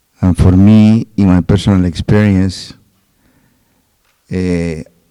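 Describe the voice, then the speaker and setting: A man with a Peruvian accent speaks at a fairly low pitch in a monotone, flat intonation. His tone is dark and mellow, and the sound is dry and close with no echo. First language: Spanish. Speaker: doctor. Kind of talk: panel discussion.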